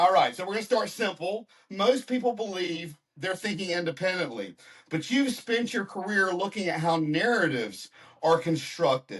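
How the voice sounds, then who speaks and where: The speaker has an American accent and lively intonation. The pace is moderate. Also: man, high pitch for a man. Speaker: podcast host. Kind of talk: interview; scripted intro.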